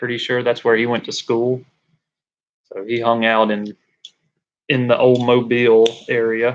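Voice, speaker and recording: Speaking in a Southern accent, a man keeps a monotone, flat intonation at medium pitch and a moderate pace, with long, frequent pauses. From Alabama, Birmingham. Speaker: livestreamer, tradesman. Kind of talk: casual live stream chat. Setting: live stream on camera.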